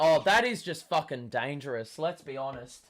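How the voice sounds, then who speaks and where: The recording is very clean, with total silence behind it. Speaking fairly slowly, a man uses lively intonation. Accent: Australian. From Australia. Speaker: sports fan streamer. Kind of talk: live watchalong commentary. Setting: live stream. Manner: animated.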